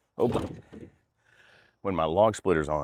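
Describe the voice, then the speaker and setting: This man has an American accent. His pitch varies in an ordinary way. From North Carolina. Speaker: firewood splitting vlogger. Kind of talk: casual vlog narration. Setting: outdoors. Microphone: new clip-on noise canceling microphone with furry windscreen.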